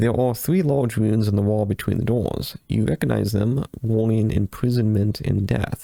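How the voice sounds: Fairly even intonation in a natural reading voice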